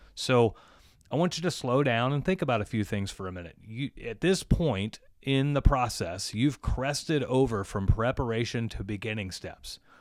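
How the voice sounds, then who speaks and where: In a very clean recording with a silent background, a man with an unremarkable speaking voice talks at a moderate pace and medium pitch, with lively intonation and big swings in loudness. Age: 40s. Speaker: podcast host and plumbing business owner. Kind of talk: casual chat.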